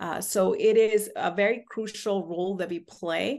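With an American accent, a woman has an ordinary speaking voice at a medium pitch with ordinary pitch variation. The background is quiet. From US, Indian American family. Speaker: judge. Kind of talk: interview.

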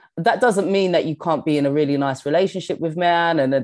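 On a very clean recording with a silent background, a woman with a strong London accent speaks in a dark, mellow tone. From London, England. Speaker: stand-up comedian and actor. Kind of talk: casual interview chat.

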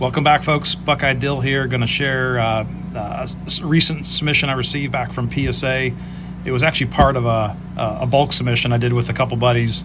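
Speaking at a fairly quick pace, a man talks with an American accent. The room echo is audible, and background noise is noticeable. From Ohio, Cleveland. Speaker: sports card collector. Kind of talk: recorded show-and-tell video. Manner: halting.

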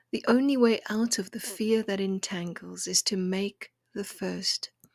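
A woman speaks in a normal speaking voice at a fairly slow pace, her pitch medium with ordinary variation. The sound is dry and close, with no echo. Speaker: poet and podcast host. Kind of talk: poetry reading, intimate and contemplative; gentle encouraging talk. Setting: home kitchen table. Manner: slow, hushed, tender and lyrical; warm, soothing, measured.

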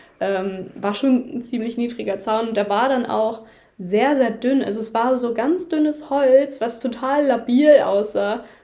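A woman speaks with a high pitch, ordinary pitch variation and a dark, mellow tone. Her fairly slow delivery carries audible room echo. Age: young. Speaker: horse photographer. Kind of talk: casual chat. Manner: hesitant, many filler sounds.

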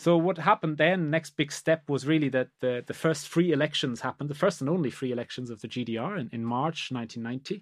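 Over a quiet background, a man with a German accent and a fairly high pitch speaks at a very fast pace with hardly any pauses, the sound dry and close with no echo. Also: ordinary pitch variation. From Germany. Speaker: law professor. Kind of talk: academic discussion. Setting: podcast recording. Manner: halting, many repetitions.

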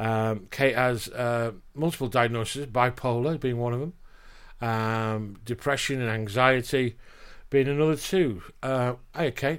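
A man with a Yorkshire accent, medium pitch, ordinary pitch variation and a fairly slow pace, on a very clean recording with a silent background. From Yorkshire, England. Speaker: podcast host, spouse and carer. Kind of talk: casual conversation.

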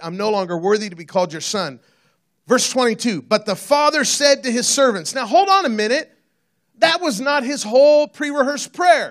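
Lively intonation shapes a man's fairly quick delivery. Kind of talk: sermon. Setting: church stage with audience. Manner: casual, jokey, conversational.

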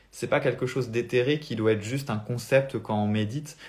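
A somewhat breathy male voice, medium in pitch with ordinary variation, in a very clean recording with a silent background. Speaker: spiritual coach. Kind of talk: live stream talk. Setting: live video stream.

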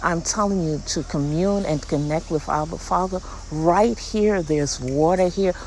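Over noticeable background noise, a woman with a fairly low voice speaks in an animated tone with ordinary pitch variation. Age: 60s. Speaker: podcast host, inspirational speaker. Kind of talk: inspirational monologue, casual religious devotional.

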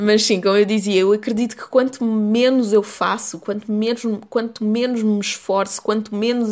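A woman with a European Portuguese accent speaks at a moderate pace in a medium pitch. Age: 20s. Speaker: podcast host. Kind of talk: solo podcast monologue.

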